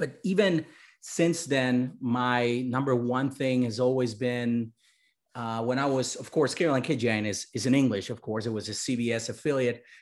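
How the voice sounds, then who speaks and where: With a Spanish accent, a man speaks fairly slowly at a medium pitch, with ordinary pitch variation. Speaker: journalism professor. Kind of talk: lecture. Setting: video call. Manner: animated.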